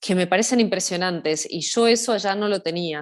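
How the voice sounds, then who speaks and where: A woman's voice at a medium pitch, with ordinary pitch variation. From Argentina, Buenos Aires city. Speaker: social media content creator, hiker. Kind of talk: casual interview. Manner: hesitant, many fillers and repetitions.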